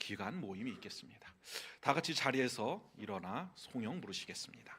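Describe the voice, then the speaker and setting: Very wide pitch swings mark a man's speech, delivered at a fairly quick pace. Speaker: pastor. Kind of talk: church announcements. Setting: church.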